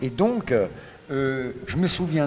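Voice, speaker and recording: Over noticeable background noise, a man speaks at a very slow pace with lively intonation. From Paris, France, then Morocco. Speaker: radio guest. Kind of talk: interview. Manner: hesitant.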